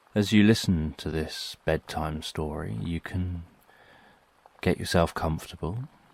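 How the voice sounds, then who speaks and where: A soft-spoken man talks at a fairly slow pace. His pitch is very deep and low, with ordinary pitch variation. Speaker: sleep story narrator. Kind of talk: sleep story. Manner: soft-spoken, slow.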